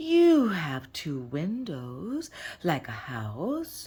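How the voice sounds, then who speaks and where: The voice is a put-on character voice. It moves at a very slow pace. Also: female-sounding voice, fairly low pitch for a woman. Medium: read story. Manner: literal, deadpan.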